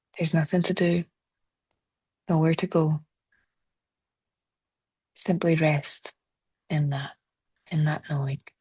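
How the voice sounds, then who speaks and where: A woman with a Scottish accent speaks at a fairly slow pace in a very deep, low pitch, somewhat breathy and monotone, with long, frequent pauses. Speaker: therapist; meditation guide. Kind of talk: guided body scan meditation. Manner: slow, soft-spoken.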